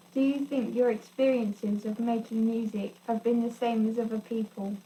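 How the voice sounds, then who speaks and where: A woman speaks with monotone, flat intonation over noticeable background noise. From England, Lincolnshire. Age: 20s. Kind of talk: prepared personal testimony read aloud.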